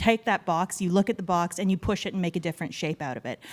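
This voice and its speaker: Talking very fast, a woman holds a medium pitch with fairly even intonation. The very clean recording has a silent background and a dry, close sound with no echo. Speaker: public servant. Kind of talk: panel introduction. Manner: loud.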